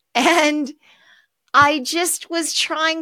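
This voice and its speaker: A woman with an American accent projects a raised voice, high-pitched and bright, sharp in tone, at a very slow pace. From US West Coast, Los Angeles. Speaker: author. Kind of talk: interview. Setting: video call.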